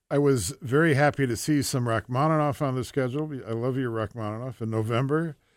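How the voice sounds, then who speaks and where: A normal speaking voice at a fairly quick pace, with ordinary pitch variation and hardly any pauses. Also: man, medium pitch for a man. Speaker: radio host. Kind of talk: casual interview.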